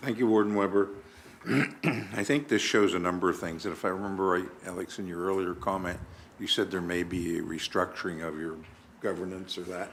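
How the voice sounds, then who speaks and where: A man speaks with a very deep, low pitch and ordinary variation. His pace is fairly quick, and the room echo is audible. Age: 60s. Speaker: municipal councillor. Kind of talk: council meeting discussion.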